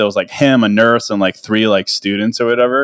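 A man talks in a plain, everyday voice at a medium pitch with fairly even intonation. The sound is dry and close, with no echo. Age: 30s. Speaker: podcaster and writer. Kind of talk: casual interview chat.

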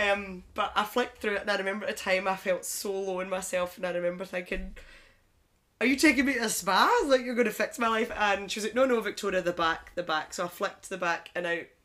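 A woman's medium-pitched, normal speaking voice at a fairly quick pace, with ordinary pitch variation, on a very clean recording against a silent background. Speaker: newly qualified personal trainer. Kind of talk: casual chat.

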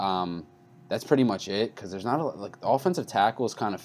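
With music in the background, a man with an American accent speaks very fast. His pitch is fairly low. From New York. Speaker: sports podcast host. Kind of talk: casual sports chat. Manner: loud, rant-like.

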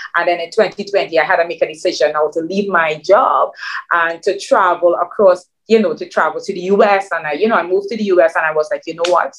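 Very fast and animated, a woman talks in a fairly low pitch. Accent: Trinidadian. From Trinidad. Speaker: e-commerce business owner. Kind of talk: interview.

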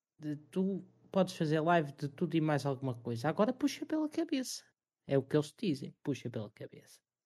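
A man with a European Portuguese accent speaks at a moderate pace in a fairly high pitch, his dark, mellow tone carried by lively intonation. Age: 20s. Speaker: streamer and restaurant worker. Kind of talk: casual chat.

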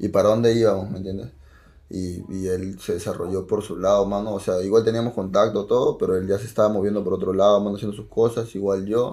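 A man talks very fast in a Peruvian accent. His pitch is fairly low, his intonation monotone and flat. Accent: Peruvian Spanish (Lima). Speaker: rapper. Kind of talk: casual chat.

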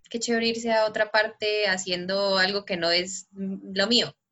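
Delivered at a fairly slow pace, the speech uses a plain, everyday voice with ordinary pitch variation. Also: woman. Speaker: podcast co-host. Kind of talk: casual interview.

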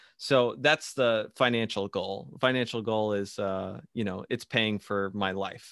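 A man with an unremarkable speaking voice, fairly low pitch and ordinary pitch variation, at a fairly slow pace with hardly any pauses. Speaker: podcast host. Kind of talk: casual interview. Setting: remote call, wearing AirPods.

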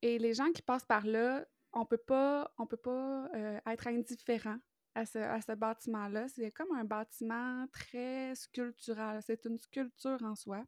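Speaking at a very slow pace in a Quebec accent, a woman with a fairly high pitch keeps her intonation fairly even, the sound dry and close with no echo. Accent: Québécois French. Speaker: podcast co-host. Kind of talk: casual chat.

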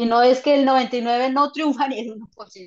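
Her voice fairly high in pitch, a woman speaks in an animated tone. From Colombia. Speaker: psychologist and author. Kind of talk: interview.

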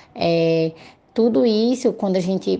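This woman has a medium pitch, a dark, mellow tone and ordinary pitch variation. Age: 30s. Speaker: social worker. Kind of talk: interview.

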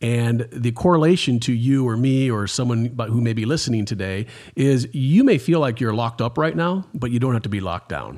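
A man talks at a fairly quick pace with hardly any pauses and ordinary pitch variation. His is an unremarkable speaking voice on a very clean recording with a silent background. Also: medium pitch for a man. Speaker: pastor. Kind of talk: interview.

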